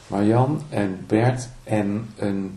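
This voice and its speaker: A man's pitch varies in an ordinary way. Audible room echo surrounds his voice. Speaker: singer-songwriter and guitarist. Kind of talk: interview. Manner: halting.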